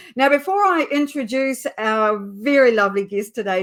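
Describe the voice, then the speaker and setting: This woman has a New Zealand accent and lively intonation. She speaks at a fairly slow pace. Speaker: LinkedIn specialist and show host. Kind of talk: live webinar introduction.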